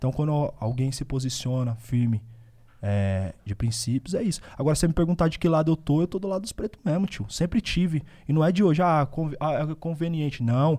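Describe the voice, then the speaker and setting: In a very clean recording with a silent background, a man with a dark, mellow tone speaks at a fairly high pitch, a fairly quick pace, and lively intonation. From Osasco and Bauru, São Paulo state, Brazil. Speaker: rapper. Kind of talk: casual chat.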